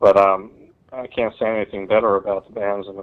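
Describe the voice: A man talks at a fast pace with an American accent. His pitch is fairly low.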